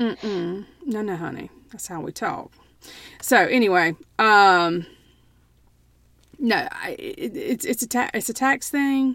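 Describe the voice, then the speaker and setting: In a very clean recording with a silent background, the speaker goes at a very slow pace with a Southern US accent, long and frequent pauses, very wide pitch swings and big swings in loudness. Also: woman, fairly high pitch for a woman. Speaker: podcast co-host. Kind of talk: casual chat.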